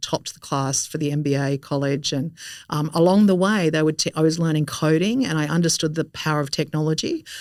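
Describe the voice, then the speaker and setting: A woman at a very deep, low pitch, with fairly even intonation and a very fast pace. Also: very clean recording, silent background. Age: 50s. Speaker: innovation strategist. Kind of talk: interview.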